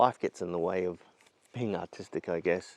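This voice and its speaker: A man speaks in a very deep, low pitch with an Australian accent. His intonation stays fairly even. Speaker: landscape photographer vlogger. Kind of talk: casual vlog monologue. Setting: outdoors in forest. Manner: quiet; hesitant.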